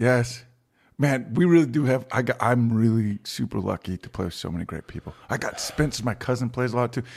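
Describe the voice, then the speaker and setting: A man with an American accent has an unremarkable speaking voice. He talks at a fairly quick pace with lively intonation. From Virginia, US. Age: 30s. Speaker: musician. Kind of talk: casual chat.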